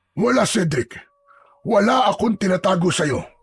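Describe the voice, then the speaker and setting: In a raspy, put-on character voice, a man speaks at a moderate pace with a high pitch and lively intonation. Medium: read story. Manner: curt, authoritative.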